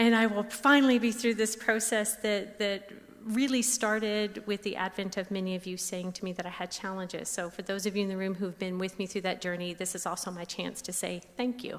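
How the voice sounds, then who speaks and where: A woman talks at a medium pitch with an American accent. Her intonation is fairly even, and she hardly pauses at all. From US South, Tennessee. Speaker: speech pathologist. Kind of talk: lecture.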